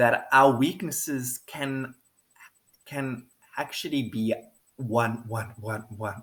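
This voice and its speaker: A man speaks at a very slow pace. His pitch is medium, with ordinary variation. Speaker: video blogger. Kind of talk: personal monologue. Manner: halting.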